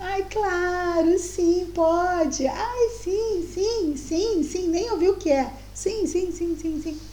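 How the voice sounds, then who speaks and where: Using a squeaky, put-on character voice at an extremely high pitch, a woman speaks at a very slow pace with hardly any pauses, over clear background noise. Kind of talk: casual colloquial Portuguese. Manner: fawning, gushing, overly agreeable.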